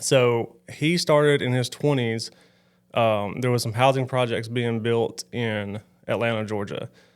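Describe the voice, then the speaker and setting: In a Southern US accent, a man speaks at a fairly slow pace. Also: medium pitch for a man, fairly even intonation. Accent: Southern twang. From US South, northern Alabama. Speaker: roofing site supervisor. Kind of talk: casual interview.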